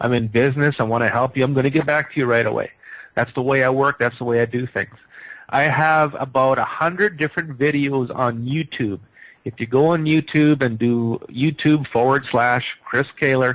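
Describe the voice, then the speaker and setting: A man's medium-pitched, a plain, everyday voice, at a moderate pace with fairly even intonation. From Canada. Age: 50s. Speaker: psychic healer. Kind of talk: radio interview.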